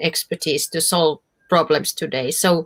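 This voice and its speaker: Recorded with a dry, close sound and no echo, a woman with a Finnish accent speaks at a moderate pace in a fairly low pitch. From Finland. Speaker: professor. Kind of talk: Q&A after a conference talk. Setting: video call to a virtual conference. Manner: halting, many fillers.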